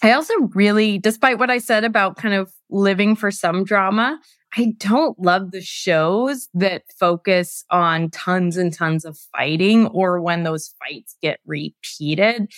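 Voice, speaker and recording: In a very clean recording with a silent background and a dry, close sound with no echo, a woman with an American accent uses an ordinary speaking voice at medium pitch, fairly slow, with ordinary pitch variation. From US West Coast. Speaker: head of communications at a tech company. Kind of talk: casual podcast interview.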